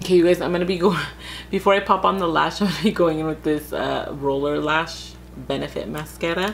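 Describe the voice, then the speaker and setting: A woman speaks quietly at a fairly quick pace. Noticeable background noise and audible room echo surround her voice. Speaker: beauty youtuber. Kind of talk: tutorial. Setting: at home, late at night.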